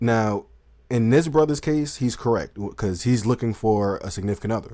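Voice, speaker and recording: A man's dark, mellow tone with a Southern US accent, in a very clean recording over a silent background. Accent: Southern country. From US South. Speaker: dating commentary channel host. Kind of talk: live stream commentary.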